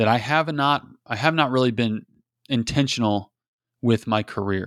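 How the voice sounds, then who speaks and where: At a moderate pace, a man speaks with a medium pitch and ordinary pitch variation. The sound is dry and close with no echo, on a very clean recording with a silent background. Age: 30s. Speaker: sales podcast host. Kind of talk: solo podcast intro monologue. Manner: casual, conversational with repetitions.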